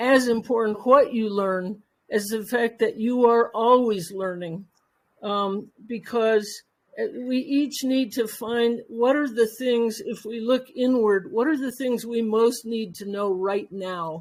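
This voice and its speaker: Very slowly, a woman talks at a fairly high pitch. Her pitch variation is ordinary. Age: 70s. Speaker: retired professional, panelist. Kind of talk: panel discussion. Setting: online audio event. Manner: halting, many fillers.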